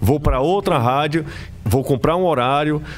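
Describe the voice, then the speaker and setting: A man at a moderate pace with lively intonation, music playing in the background. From Ceará, Brazil (Aracati / Majorlândia). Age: 30s. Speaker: sports journalist. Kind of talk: casual interview chat. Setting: studio.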